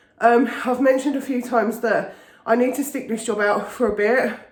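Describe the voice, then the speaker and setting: Over noticeable background noise and audible room echo, a woman speaks at a high pitch. Her pace is moderate and her pitch varies in an ordinary way. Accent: English. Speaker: vlogger. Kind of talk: casual vlog talk.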